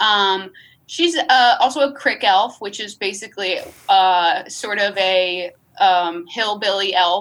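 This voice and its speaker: The speaker talks at a very slow pace with ordinary pitch variation in an upstate New York accent. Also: woman, medium pitch for a woman. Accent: upstate New York American. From upstate New York, near Albany. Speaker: comedy writer and performer. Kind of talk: casual interview chat.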